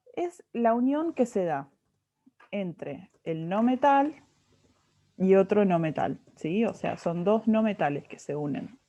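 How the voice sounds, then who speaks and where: Very wide pitch swings in a woman's medium-pitched voice, at a fairly slow pace. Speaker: chemistry tutor. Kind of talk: tutoring lesson.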